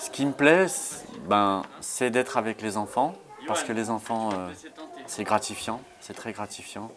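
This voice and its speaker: A man's medium-pitched voice at a very slow pace, with ordinary pitch variation, big swings in loudness and noticeable background noise. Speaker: nursery childcare assistant. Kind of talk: interview.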